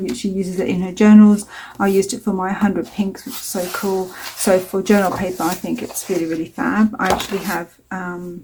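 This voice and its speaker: The woman's voice has a dark, mellow tone and sounds somewhat breathy. Her pitch is medium. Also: fairly even intonation, fairly quick pace. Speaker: mixed media artist. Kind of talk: tutorial. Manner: casual, hesitant with many fillers.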